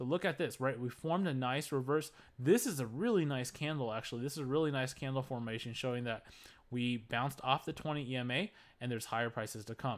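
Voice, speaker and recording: The speech comes at a very fast pace with ordinary pitch variation on a very clean recording with a silent background. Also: man, medium pitch for a man. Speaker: stock trading commentator. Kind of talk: market analysis commentary.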